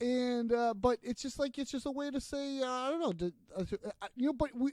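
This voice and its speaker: This man speaks in a Boston accent at a fairly quick pace, with an extremely high pitch and ordinary pitch variation. The sound is dry and close, with no echo. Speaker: podcast host. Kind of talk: casual chat.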